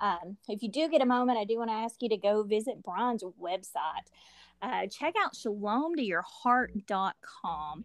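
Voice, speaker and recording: In a very clean recording with a silent background, a woman with a Southern US accent talks at a fairly slow pace and fairly high pitch, her intonation lively and the sound dry and close with no echo. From US South. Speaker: podcast co-host and ministry partner. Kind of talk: casual chat and interview; promotional announcements.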